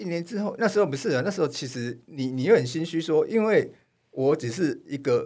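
A man with an unremarkable speaking voice talks at a fairly quick pace and a fairly high pitch, with lively intonation. The recording is very clean, with a silent background. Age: middle-aged. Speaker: photojournalist. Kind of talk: casual chat.

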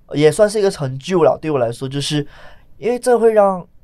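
In a very clean recording with a silent background, a man with a strong Malaysian accent speaks in a dark, mellow tone with ordinary pitch variation. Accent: strong Malaysian accent in Mandarin. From Malaysia, Johor. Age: 20s. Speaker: stand-up comedian. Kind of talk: interview.

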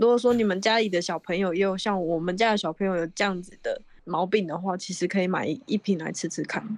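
A woman speaks at a medium pitch and a very fast pace with hardly any pauses. Her intonation stays fairly even. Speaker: podcast co-host. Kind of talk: casual chat; product endorsement. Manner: sleepy-sounding.

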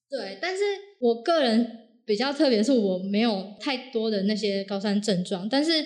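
A woman with a fairly high pitch and a normal speaking voice talks at a moderate pace with lively intonation. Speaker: hiking enthusiast sharing overseas climbing experience. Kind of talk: casual interview chat.

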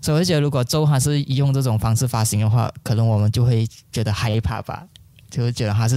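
A man's dark, mellow tone at a very fast pace, with ordinary pitch variation. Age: 30s. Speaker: film director. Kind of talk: interview. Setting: film festival venue.

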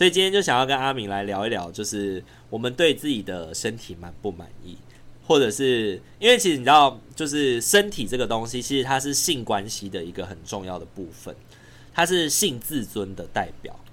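In a medium pitch, a man talks at a moderate pace with very wide pitch swings and big swings in loudness. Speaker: podcast host. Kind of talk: casual chat. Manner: expressive intonation.

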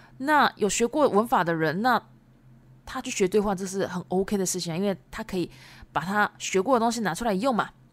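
Lively intonation marks a woman speaking at a fairly slow pace with medium pitch. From Japan. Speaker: Japanese language teacher podcaster. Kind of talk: bilingual teaching podcast. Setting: home recording.

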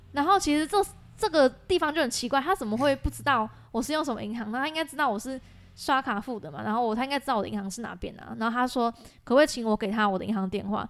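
Very fast and high-pitched, a woman talks with lively intonation. The recording is very clean and the background silent. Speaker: graduate student, scam victim. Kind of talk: casual chat. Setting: office.

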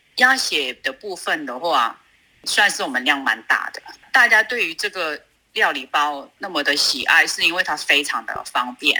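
A woman's bright, sharp voice at a moderate pace, with very wide pitch swings. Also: fairly low pitch for a woman. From China, Sichuan (Luzhou). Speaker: food business owner. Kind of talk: interview.

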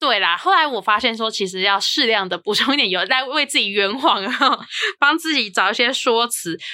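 A woman talks at a fairly quick pace with lively intonation. Hers is a plain, everyday voice. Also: fairly high pitch for a woman. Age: 30s. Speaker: podcast host. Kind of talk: casual chat.

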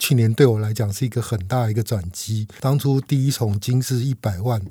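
This man's voice is medium in pitch, somewhat breathy and dark and mellow in tone. He keeps a moderate pace and fairly even intonation. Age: 50s. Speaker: veteran stock investor. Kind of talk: casual interview chat.

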